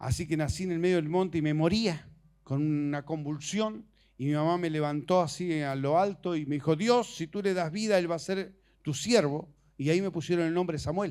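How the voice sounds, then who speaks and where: Recorded very cleanly against a silent background, a man with a normal speaking voice talks at a moderate pace, his pitch fairly high with ordinary variation. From Argentina, Misiones province. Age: 60s. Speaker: preacher. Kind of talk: sermon.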